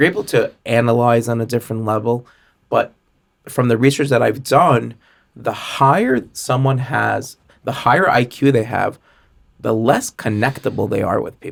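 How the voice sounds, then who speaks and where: A man speaks with vocal fry. His intonation is fairly even. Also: medium pitch for a man, moderate pace. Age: 40s. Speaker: sales and customer experience expert. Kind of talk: podcast interview.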